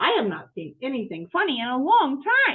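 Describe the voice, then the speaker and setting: A woman puts on a character voice, pitched high with very wide pitch swings, and speaks at a moderate pace. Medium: read story.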